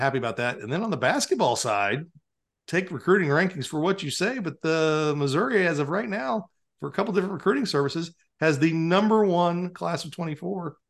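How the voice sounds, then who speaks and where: At a fairly quick pace, a plain, everyday voice speaks with lively intonation against a quiet background. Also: man. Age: 50s. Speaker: high school sports writer, podcast co-host. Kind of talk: casual sports chat. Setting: video call.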